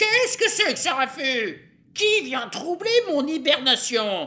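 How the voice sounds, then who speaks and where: In a high-pitched, put-on character voice, the speaker goes at a fairly slow pace with very wide pitch swings. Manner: irritated, disturbed from sleep.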